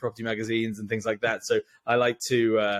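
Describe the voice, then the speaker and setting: This man has an English accent. He speaks at a fairly quick pace. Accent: English, noticeable in Ireland. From England (Thames Valley area). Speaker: estate agent. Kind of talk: podcast interview.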